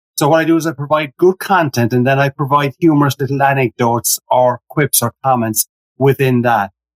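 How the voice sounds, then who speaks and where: In an Irish accent, a man speaks at a fairly quick pace with a fairly high pitch, ordinary pitch variation and very even loudness, the sound dry and close with no echo. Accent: Irish brogue. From Ireland. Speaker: humorous keynote speaker. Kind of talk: podcast interview.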